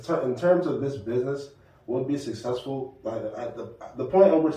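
Amid noticeable background noise and audible room echo, a man with an American accent talks at a fairly quick pace. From New Bedford, Massachusetts. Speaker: app co-founder. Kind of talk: casual interview.

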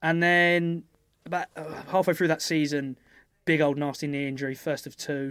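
Monotone, flat delivery at a moderate pace, in a southern English accent, on a very clean recording with a silent background. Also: man, fairly high pitch for a man. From southern England (Epsom, Surrey). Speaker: professional rugby player. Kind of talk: casual chat.

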